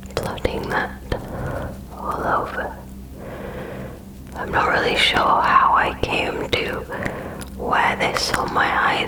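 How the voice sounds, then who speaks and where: Whispered words come at a very slow pace amid noticeable background noise. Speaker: ASMR creator. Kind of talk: ASMR makeup tutorial. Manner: soothing, calm.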